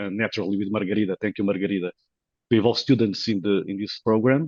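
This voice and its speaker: A man talks with a Portuguese accent. His pitch is fairly low and his intonation fairly even. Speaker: professor. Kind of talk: conference presentation. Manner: halting, many fillers.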